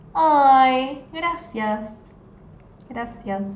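A woman's very slow, lively-toned speech, with audible room echo and light background noise. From Argentina. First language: Spanish. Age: 20s. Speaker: Spanish tutor. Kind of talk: live online language lesson. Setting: livestream on social media. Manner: code-switching between Spanish and English. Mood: friendly, warm. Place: home room. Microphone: phone near.

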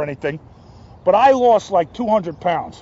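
With a New Jersey accent, a man speaks in a high pitch, his tone animated and his intonation lively. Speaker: actor. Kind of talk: casual interview. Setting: outdoors.

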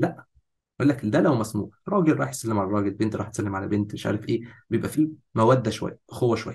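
With an Egyptian accent, a man talks at a very fast pace in an animated, somewhat breathy voice. His pitch varies in an ordinary way over a quiet background. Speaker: fitness course instructor. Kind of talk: lecture.

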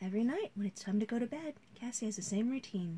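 A woman with a fairly high pitch and a dark, mellow, somewhat breathy tone speaks fairly quickly with lively intonation over light background noise. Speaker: storybook reader. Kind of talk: bedtime story reading aloud. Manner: animated, expressive, playful. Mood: calm bedtime storytelling. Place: home room. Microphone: phone near.

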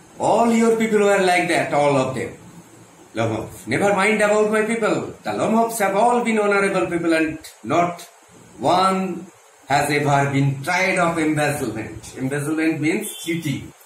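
A man at a moderate pace, with light background noise and audible room echo. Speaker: English teacher. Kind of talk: lecture. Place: classroom. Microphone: phone near.

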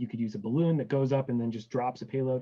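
Male speech, ordinary pitch variation, and a quiet background. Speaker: guest. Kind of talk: interview answer. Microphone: video call.

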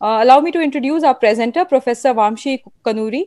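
At a very fast pace, a woman with a high pitch talks with ordinary pitch variation over a quiet background, the sound dry with no echo. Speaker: webinar host. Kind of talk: formal introduction. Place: home room. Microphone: earbuds.

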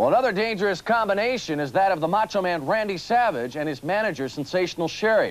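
His intonation lively, a man speaks at a very fast pace. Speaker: wrestling TV announcer. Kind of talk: TV sports announcing. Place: studio.

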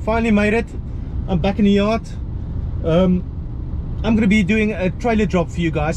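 Over noticeable background noise, a man with a strong South African accent speaks at a fairly quick pace. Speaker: HGV lorry driver. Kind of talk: casual vlog talk to camera. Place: car. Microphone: phone near.

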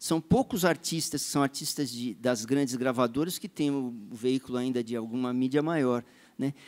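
A man with a normal speaking voice at medium pitch, moderate pace and ordinary pitch variation, in a very clean recording with a silent background and a dry, close sound with no echo. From São Paulo, Brazil. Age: 50s. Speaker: musician and composer. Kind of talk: panel discussion.

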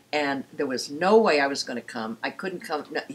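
At a moderate pace, a woman speaks with a low pitch, a slightly husky edge and lively intonation.

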